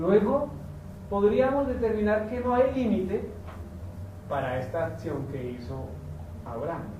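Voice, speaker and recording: A man speaks at a fairly slow pace and high pitch with very wide pitch swings, big swings in loudness and long, frequent pauses, amid noticeable background noise and audible room echo. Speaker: messianic pastor. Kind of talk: sermon. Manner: conversational, many fillers.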